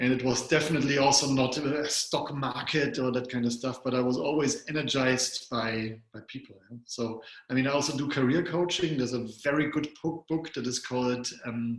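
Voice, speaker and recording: With a German accent, a man talks at a moderate pace with hardly any pauses, a medium pitch and fairly even intonation against noticeable background noise. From Germany. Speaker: psychologist and coach. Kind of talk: interview.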